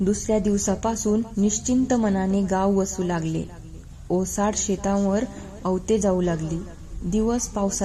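Someone does plain reading aloud. Fairly even intonation runs through it.

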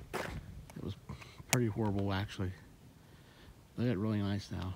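A man's fairly low voice moves with fairly even intonation. The sound is dry with no echo, but noticeable background noise comes through. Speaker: local vlogger. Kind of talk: casual vlog chat. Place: waterside. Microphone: phone near.

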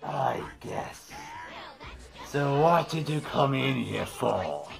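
Shouting in a put-on character voice at a low-to-middle pitch, the speaker goes at a very slow pace over clear background noise. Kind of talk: casual in-character skit talk.

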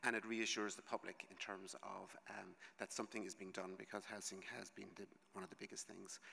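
A man's fairly low, bright, sharp voice in an Irish accent, fairly quick, with monotone, flat intonation. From Ireland. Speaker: conference speaker. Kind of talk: conference presentation. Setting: conference stage with audience. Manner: fast. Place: hall. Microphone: podium.

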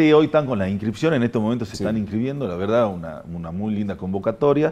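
A man has a normal speaking voice, pitched fairly low. His intonation is lively. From Argentina, Salta province (Rosario de Lerma); Salta, Argentina. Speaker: provincial government official; guest. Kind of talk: radio interview. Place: studio.

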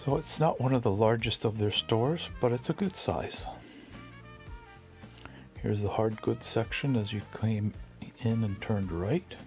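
With faint music in the background, a man speaks at a moderate pace, using ordinary pitch variation and long, frequent pauses. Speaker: thrift store tour vlogger. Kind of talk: casual tour commentary. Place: shop. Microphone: phone near.

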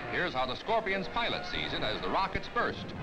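Music is clearly heard behind the voice. The speaking pace is fairly quick. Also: man. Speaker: newsreel narrator. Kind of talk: 1950s newsreel narration. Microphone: old recording.

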